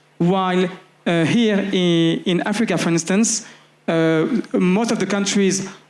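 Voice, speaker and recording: A man speaks at a high pitch with fairly even intonation. There is audible room echo and noticeable background noise. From France (Paris, working-class diaspora). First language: French. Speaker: community organizer. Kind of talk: panel discussion. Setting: festival stage with audience. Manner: hesitant, many fillers.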